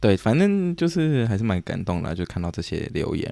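Dark and mellow in tone, a man speaks at a moderate pace with lively intonation. The recording is very clean, with a silent background. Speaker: podcast host, student abroad. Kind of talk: casual chat.

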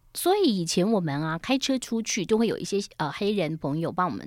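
On a very clean recording with a silent background, a woman with a plain, everyday voice speaks at medium pitch and a moderate pace with lively intonation. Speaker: radio host. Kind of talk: interview. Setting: studio.

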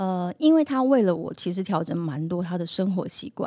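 The voice has a dark, mellow tone and lively intonation. It sounds dry and close with no echo, on a very clean recording with a silent background. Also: woman. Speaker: singer and actress. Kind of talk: casual chat. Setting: studio.

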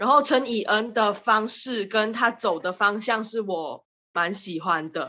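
At a fairly slow pace, this is a normal speaking voice with ordinary pitch variation. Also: woman, fairly high pitch for a woman. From Malaysia. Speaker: drama student. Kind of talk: casual chat.

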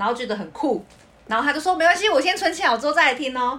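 A woman talks at a very fast pace. Noticeable background noise is present. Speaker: podcast co-host. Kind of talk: casual chat. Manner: laughs easily.

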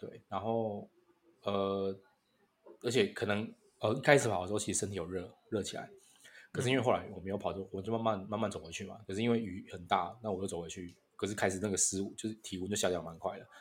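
Fairly even in intonation and fairly low in pitch, a man's speech rushes by at a very fast pace. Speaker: podcast co-host. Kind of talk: casual chat. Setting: online call.

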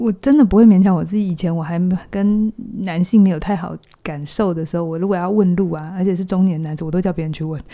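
With a dark, mellow tone, a woman talks at a medium pitch and a very fast pace. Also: ordinary pitch variation. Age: 40s. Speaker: psychologist. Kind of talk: casual chat.

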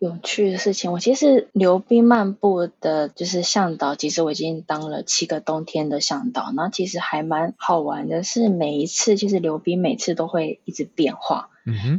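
A woman speaks at a moderate pace with hardly any pauses, her somewhat breathy voice fairly low in pitch and her intonation lively. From Taiwan (Pingtung). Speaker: tour guide. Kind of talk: casual interview.

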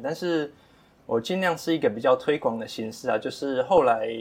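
This man speaks with a strong Taiwanese accent at a fairly quick pace, his pitch varying in an ordinary way. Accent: Taiwanese Mandarin, strong. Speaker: aquaculture shrimp farmer. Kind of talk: casual interview.

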